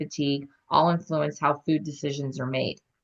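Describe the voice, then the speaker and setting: This woman's intonation is monotone and flat. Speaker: food business owner. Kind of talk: webinar presentation. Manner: halting.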